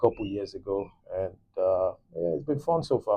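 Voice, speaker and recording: The speaker is a man with a Nigerian accent. He talks at a fairly quick pace. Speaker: nurse, podcast co-host. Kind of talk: casual chat.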